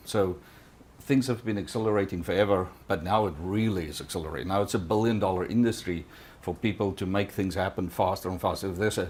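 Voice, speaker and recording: A man with a non-native accent speaks at a very fast pace. His pitch is fairly low, with ordinary pitch variation. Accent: noticeable foreign. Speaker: tech company executive. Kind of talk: conference talk. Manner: halting, many fillers.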